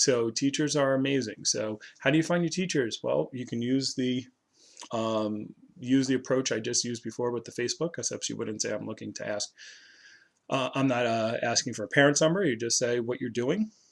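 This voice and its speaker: His pitch is medium. The man delivers his words at a fairly quick pace. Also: ordinary pitch variation. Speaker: sales trainer. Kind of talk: tutorial. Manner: fast; halting.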